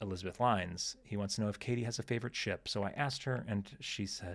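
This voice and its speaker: Talking at a very fast pace with hardly any pauses, a man with an American accent and a fairly low pitch comes through on a very clean recording against silence. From United States. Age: 30s. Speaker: podcast host. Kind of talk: casual chat. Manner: hesitant, many fillers.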